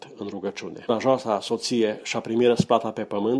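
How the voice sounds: A natural reading voice, its intonation fairly even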